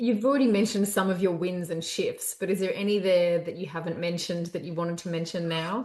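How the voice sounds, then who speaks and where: Speaking very fast with hardly any pauses, a woman with a medium-pitched, somewhat breathy voice uses ordinary pitch variation. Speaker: vestibular physiotherapist, dizziness recovery specialist. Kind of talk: interview questions.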